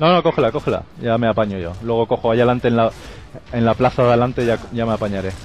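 A man with a Castilian accent talks at a very fast pace. The sound is dry with no echo, and there is light background noise. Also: ordinary pitch variation. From Spain. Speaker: gaming youtuber. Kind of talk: casual chat. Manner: animated.

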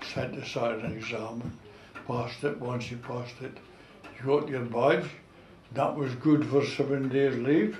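With a North East Scottish accent, a man talks at a fairly slow pace in a medium pitch, his intonation fairly even and his loudness swinging widely. Audible room echo and light background noise sit behind him. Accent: North East Scotland dialect (Doric). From North East Scotland, Gourdon fishing village; North East Scotland. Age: 90s. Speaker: war veteran and retired fishing skipper. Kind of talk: oral history interview. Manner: halting, repeats words. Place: home room. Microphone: camera far.

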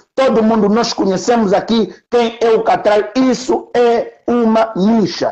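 A man with an extremely high pitch speaks at a very slow pace, with hardly any pauses and ordinary pitch variation. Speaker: journalist. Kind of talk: casual chat. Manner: halting.

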